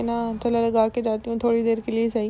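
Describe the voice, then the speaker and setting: A woman speaks with a dark, mellow tone. Her pitch is fairly high and her pace moderate. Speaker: vlogger. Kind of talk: vlog narration.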